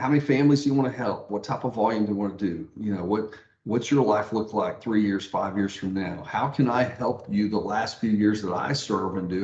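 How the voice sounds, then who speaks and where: A man speaks at a moderate pace with a fairly low pitch and ordinary pitch variation. He has an ordinary speaking voice. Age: 60s. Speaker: mortgage branch manager and pastor. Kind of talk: interview.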